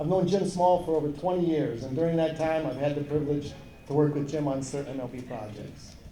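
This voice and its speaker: A man with an American accent speaks at a very fast pace, his pitch fairly high and its variation ordinary. The recording has audible room echo and noticeable background noise. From Wisconsin. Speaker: baseball consultant and coach. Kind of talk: award introduction speech. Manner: halting, repeats phrases.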